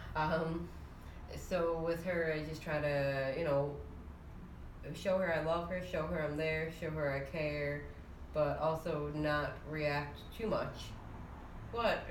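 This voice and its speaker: A woman with a very deep, low voice speaks very slowly in a flat monotone. Long, frequent pauses and noticeable background noise run through the clip. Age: 20s. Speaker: podcast co-host, parent. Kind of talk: casual chat.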